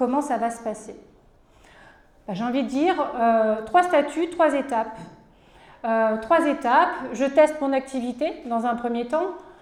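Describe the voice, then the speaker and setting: In a room with audible echo, a woman talks at a fairly slow pace in a high pitch with ordinary pitch variation. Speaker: cooperative support worker. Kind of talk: conference presentation. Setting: conference with audience.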